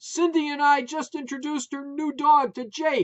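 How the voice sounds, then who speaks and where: Using a put-on character voice, a man speaks loudly at an extremely high pitch. His pace is moderate. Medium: read story. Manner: loud, emotional.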